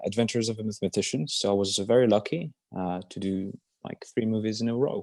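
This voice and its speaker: Very fast man with a Polish accent, fairly low in pitch with ordinary pitch variation, in a dry, close sound with no echo against a quiet background. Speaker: actor. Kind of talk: interview Q&A. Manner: halting, many fillers and repeats.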